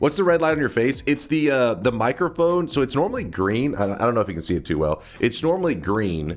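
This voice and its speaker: Loud and animated, a man talks at a very fast pace with hardly any pauses, his medium pitch making very wide swings. Music plays in the background. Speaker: video game streamer. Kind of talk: casual live-stream chat.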